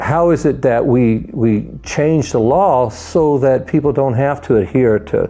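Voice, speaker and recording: With lively intonation and a medium pitch, a man talks as noticeable background noise fills the recording. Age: 60s. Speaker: cannabis advocate facing criminal charges. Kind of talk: testimony.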